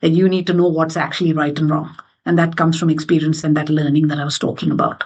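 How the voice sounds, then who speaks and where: With an Indian accent, a woman speaks in a fairly even intonation. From India, Mumbai. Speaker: finance executive and board member. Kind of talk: interview conversation.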